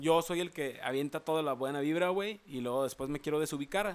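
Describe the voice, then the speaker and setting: A man's fairly high voice at a moderate pace, an unremarkable speaking voice. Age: 20s. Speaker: podcast host. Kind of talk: casual chat.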